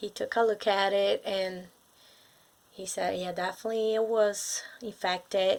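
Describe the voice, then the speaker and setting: A woman with a Brazilian accent speaks at a fairly slow pace in a very clean recording with a silent background. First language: Portuguese. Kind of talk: casual talk to camera. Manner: hesitant, many fillers.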